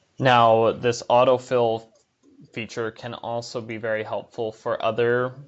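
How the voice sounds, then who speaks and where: Over music in the background, a man of medium pitch speaks at a fairly slow pace with monotone, flat intonation. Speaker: workplace software trainer. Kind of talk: tutorial.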